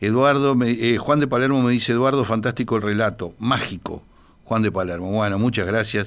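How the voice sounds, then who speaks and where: A normal speaking voice at a fairly quick pace, with very even loudness and ordinary pitch variation. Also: man, medium pitch for a man. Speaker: radio host. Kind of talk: casual chat.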